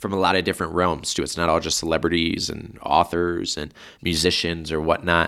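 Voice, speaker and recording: A man speaks at a moderate pace in a very deep, low pitch with a bright, sharp tone. The recording is very clean, with a silent background. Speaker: sports performance staff and podcast host. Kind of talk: solo monologue podcast. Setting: studio. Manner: halting, frequent fillers.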